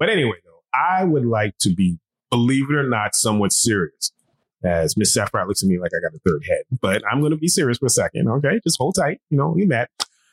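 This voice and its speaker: A man's voice with vocal fry, very wide pitch swings and big swings in loudness, in a dry, close sound with no echo. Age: 50s. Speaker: podcast co-host. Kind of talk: casual chat. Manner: animated.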